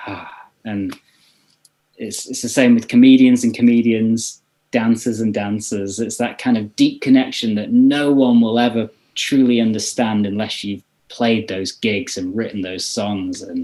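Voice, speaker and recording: A man's dark, mellow, medium-pitched voice, fairly even in intonation but with big swings in loudness, at a moderate pace. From northern England, Leeds. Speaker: meditation app founder and musician. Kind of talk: casual chat.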